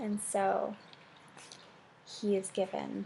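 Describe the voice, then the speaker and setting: A woman is soft-spoken. Noticeable background noise runs behind her. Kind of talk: ASMR soft-spoken talk to camera.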